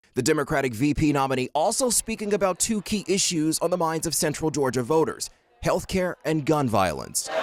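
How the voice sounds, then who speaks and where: A man's plain, everyday voice, fairly high and fairly quick, with lively intonation and very even loudness. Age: 20s. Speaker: news anchor and reporter. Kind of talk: news reporting; live field reporting.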